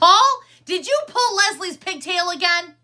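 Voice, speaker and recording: A woman puts on a squeaky character voice at an extremely high pitch. She speaks at a moderate pace with lively intonation. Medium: read story.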